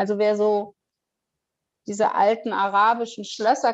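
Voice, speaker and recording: A woman at a fairly slow pace. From northern Germany, Kiel. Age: 40s. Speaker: near-death experience survivor. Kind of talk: personal testimony interview. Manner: hesitant, many fillers.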